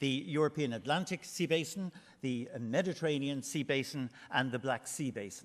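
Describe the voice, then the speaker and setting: Against a quiet background, a man speaks at a moderate pace with an Irish accent. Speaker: marine research manager. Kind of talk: conference presentation. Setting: conference hall with audience. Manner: loud, projected voice; hesitant, many fillers.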